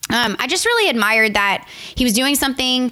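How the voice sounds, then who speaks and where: A woman with a Southern Louisiana accent, fairly high in pitch, at a fairly quick pace. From Louisiana, Morgan City. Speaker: wedding photographer. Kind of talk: casual interview chat.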